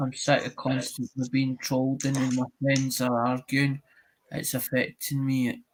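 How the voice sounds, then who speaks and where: With a Scottish accent, a man at a medium pitch speaks fairly slowly in a monotone, flat intonation, the sound dry and close with no echo. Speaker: YouTuber. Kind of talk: casual chat. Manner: halting.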